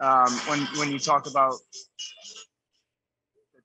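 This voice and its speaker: A man's voice sounds dry with no echo, with music playing in the background. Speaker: remote guest. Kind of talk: interview answer. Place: street. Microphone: video call.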